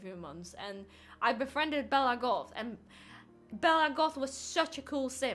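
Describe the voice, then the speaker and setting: Music plays in the background. The voice moves at a moderate pace with very wide pitch swings. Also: woman. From Poland. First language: Polish. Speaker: gaming streamer. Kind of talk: casual livestream chat. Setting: livestream with game music in background. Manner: hesitant, many fillers.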